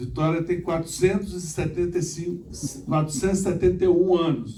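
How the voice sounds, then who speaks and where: Speaking at a moderate pace with ordinary pitch variation, a man with a high voice is heard with audible room echo. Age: 60s. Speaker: former mayor and engineer, conference speaker. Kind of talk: conference talk. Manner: halting, with repetitions.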